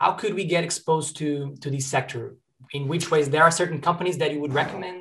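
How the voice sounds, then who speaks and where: A man with a Portuguese accent speaks at a very fast pace. His intonation stays fairly even. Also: fairly high pitch for a man. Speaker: student podcast host. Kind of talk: interview.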